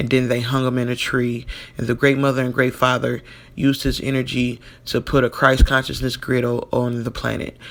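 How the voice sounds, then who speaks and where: Over noticeable background noise, a man speaks at a medium pitch. His intonation is monotone and flat, and his pace is fairly quick. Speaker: spiritual video host. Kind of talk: monologue with reading aloud. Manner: halting, many fillers.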